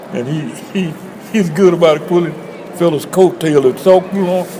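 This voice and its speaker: With an Alabama accent, a man talks at a fairly slow pace in a high pitch over noticeable background noise. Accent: Southern US (Alabama). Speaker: Freemason lodge member. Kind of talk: oral history interview answer.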